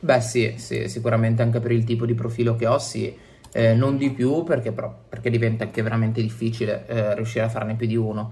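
Very fast and monotone with flat intonation, the somewhat breathy voice has a dark, mellow tone and audible room echo. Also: man, medium pitch for a man. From Italy, Genoa (Liguria). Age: 20s. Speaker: illustrator and cartoonist. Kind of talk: interview.

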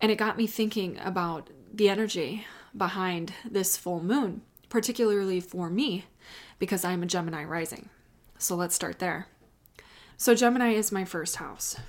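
A woman with an American accent speaks at a medium pitch and a moderate pace, with ordinary pitch variation and long, frequent pauses. The recording is very clean, with a silent background. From US Midwest, Chicago. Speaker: astrologer. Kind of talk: solo astrology reading. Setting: home office, off usual filming spot.

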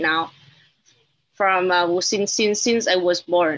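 Speaking at a medium pitch, a woman with a Vietnamese accent uses ordinary pitch variation. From Vietnam, Hanoi. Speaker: journalist. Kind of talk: panel discussion. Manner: halting.

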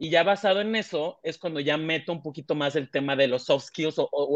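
At a fairly quick pace, a man with a Mexican accent talks in a fairly high voice with ordinary pitch variation. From Mexico, small coastal town. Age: 20s. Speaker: human resources director. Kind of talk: interview conversation.

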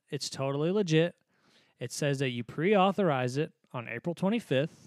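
Captured in a very clean, dry, close recording with a silent background and no echo, a man with an ordinary speaking voice and a fairly high pitch talks at a moderate pace with lively intonation. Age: 20s. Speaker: podcast co-host and guitar teacher. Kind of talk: casual chat. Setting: home studio.

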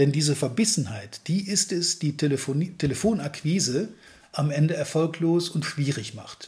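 The man's pitch is high. His intonation is lively. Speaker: sales trainer. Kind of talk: podcast monologue.

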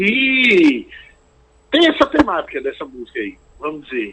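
Very wide pitch swings run all through this man's speech. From Recife, Brazil. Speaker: singer-songwriter. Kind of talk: interview. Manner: halting.

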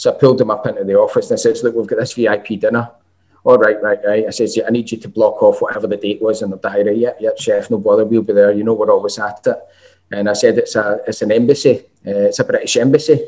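Speaking with a Glaswegian accent, a man talks at a very fast pace. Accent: Glaswegian Scottish. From Scotland, Glasgow. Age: 40s. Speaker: chef and college lecturer. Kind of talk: casual chat.

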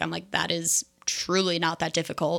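Speaking at a fairly quick clip, a woman with an American accent uses a normal speaking voice pitched fairly low. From New Jersey. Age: 20s. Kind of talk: casual chat. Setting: kitchen at home.

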